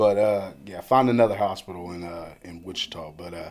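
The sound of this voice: Speaking fairly quickly in an American accent, a man with a low voice uses ordinary pitch variation.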